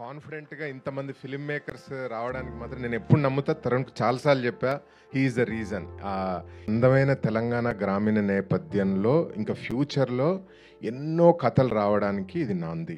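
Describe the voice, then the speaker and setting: A man at medium pitch with lively intonation and big swings in loudness, with music in the background. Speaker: film producer. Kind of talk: speech at a film trailer launch event. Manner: calm.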